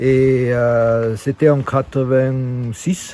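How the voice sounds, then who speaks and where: A man talks over noticeable background noise. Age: 50s. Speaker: long-term van traveler. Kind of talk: casual walkthrough of his van. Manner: halting, many hesitations.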